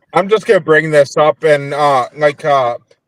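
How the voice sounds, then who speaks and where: The speaker has a Minnesotan accent and ordinary pitch variation at a moderate pace. The sound is dry and close, with no echo. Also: man. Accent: Minnesota. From US South, Nashville, Tennessee. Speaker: paranormal investigator. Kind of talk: casual chat. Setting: in a car, video call.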